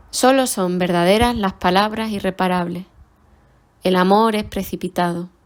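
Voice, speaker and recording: A woman with an ordinary speaking voice and a medium pitch talks at a moderate pace with fairly even intonation on a very clean recording with a silent background. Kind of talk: poetry reading.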